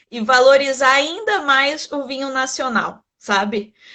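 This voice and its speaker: With a Rio de Janeiro accent, a woman talks very slowly in a high pitch with ordinary pitch variation. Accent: carioca (Rio de Janeiro). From Brazil, Rio de Janeiro. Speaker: winemaker and wine content creator. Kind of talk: interview in a live stream. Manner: conversational with many fillers.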